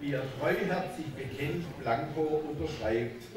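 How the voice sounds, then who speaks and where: Very slow speech with lively intonation, audible room echo and noticeable background noise. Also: man. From Swabia. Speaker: carnival speaker. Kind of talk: rhyming carnival speech. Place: hall. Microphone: podium.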